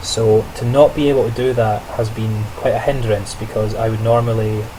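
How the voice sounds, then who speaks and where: Against noticeable background noise, a man talks at a medium pitch in a flat monotone. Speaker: student teacher vlogger. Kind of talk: video diary monologue. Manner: casual, with many fillers and restarts.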